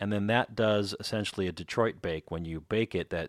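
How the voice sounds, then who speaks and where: In a Chicago accent, a man with a very deep, low pitch and ordinary pitch variation speaks at a moderate pace, the sound dry and close with no echo in a very clean recording with a silent background. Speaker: podcast host and pizza author. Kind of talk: podcast narration.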